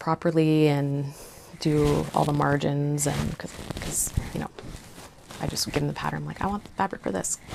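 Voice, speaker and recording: Noticeable background noise sits behind a woman's very deep, low voice. She speaks at a moderate pace. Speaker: cross-stitch vlogger. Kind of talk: casual show-and-tell vlog. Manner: hesitant, many fillers.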